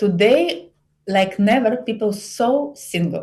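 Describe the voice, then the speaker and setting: Somewhat breathy, a woman speaks at a medium pitch with lively intonation. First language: Bulgarian. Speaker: psychologist and relationship coach. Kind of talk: podcast interview. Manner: halting, broken English.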